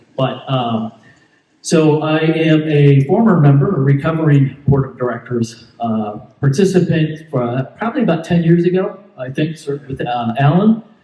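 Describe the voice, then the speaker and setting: Speaking at a moderate pace with an American accent, a man uses a fairly high pitch, ordinary pitch variation and big swings in loudness. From Southern California. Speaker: homeowners board candidate. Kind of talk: candidate speech at town hall. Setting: community town hall meeting. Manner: halting, many fillers.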